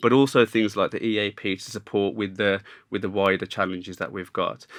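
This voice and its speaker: In a very clean recording with a silent background, a man with a Birmingham accent talks fairly quickly in a fairly low, monotone, flat voice. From Birmingham, England. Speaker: podcast host, business development manager. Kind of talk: podcast interview. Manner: conversational, some hesitation.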